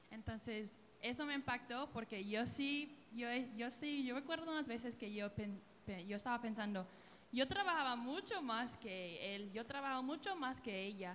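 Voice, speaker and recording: In a room with audible echo, a woman talks at a moderate pace with a high pitch and lively intonation. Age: 20s. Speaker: church singer. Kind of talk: church panel discussion.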